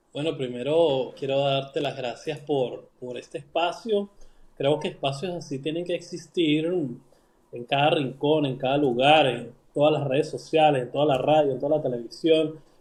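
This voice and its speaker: A fairly high, somewhat breathy male voice at a fairly slow pace, with fairly even intonation. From Venezuela. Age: 40s. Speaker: writer. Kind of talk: interview. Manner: halting, many fillers and repetitions.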